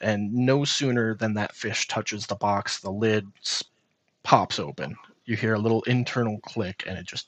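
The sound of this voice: The background stays quiet. An unforced reading voice carries fairly even intonation.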